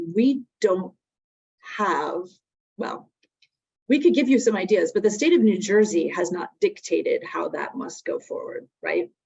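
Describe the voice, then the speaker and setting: A woman with a Connecticut accent, at a fairly slow pace, with long, frequent pauses and big swings in loudness. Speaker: webinar presenter on workplace drug policy. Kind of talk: webinar presentation. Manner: conversational with frequent fillers.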